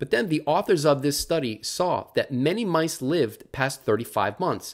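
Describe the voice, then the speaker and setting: A man's moderate-paced speech is heard over a quiet background. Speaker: presenter. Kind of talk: lecture.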